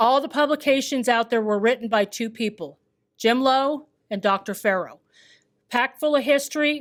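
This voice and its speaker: Loud and high-pitched, a woman speaks at a moderate pace with ordinary pitch variation. The recording is very clean, with a silent background. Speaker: historical society staff introducing speaker. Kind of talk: event introduction and announcements. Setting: lecture hall with live audience.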